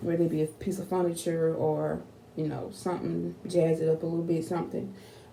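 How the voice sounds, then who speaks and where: A woman with an American accent speaks at a fairly low pitch, with audible room echo and noticeable background noise. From Texas, Fort Worth. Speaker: YouTuber. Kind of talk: casual vlog talk to camera.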